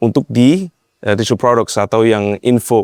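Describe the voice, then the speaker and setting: With a slight Western accent, the voice shows ordinary pitch variation in a dry, close sound with no echo. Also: man. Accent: slight foreign (Western) accent in Indonesian. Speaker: e-commerce marketing consultant. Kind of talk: podcast interview. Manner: code-switching Indonesian and English.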